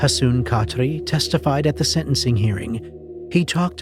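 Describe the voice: The clip is plain reading aloud.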